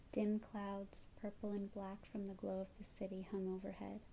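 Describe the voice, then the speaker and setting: Soft-spoken and somewhat breathy, a woman of medium pitch talks at a fairly slow pace in a dark, mellow tone. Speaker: ASMR artist. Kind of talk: scary story narration.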